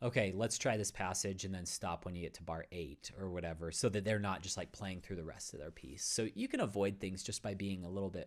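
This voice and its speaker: A man's very deep, low voice with an American accent, fairly quick and with hardly any pauses, showing ordinary pitch variation. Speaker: concert pianist and piano teacher. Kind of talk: online workshop Q&A. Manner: casual, many fillers.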